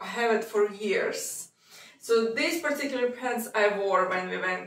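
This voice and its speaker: There is audible room echo around this woman's voice. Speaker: lifestyle vlogger. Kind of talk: casual vlog chat. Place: home room.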